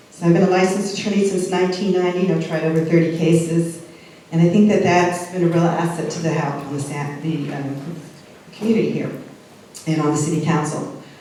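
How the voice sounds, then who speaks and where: A woman's fairly low voice at a very fast pace, with audible room echo and noticeable background noise. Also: fairly even intonation. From Southern California. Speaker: city council candidate. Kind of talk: candidate forum speech. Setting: public forum with audience.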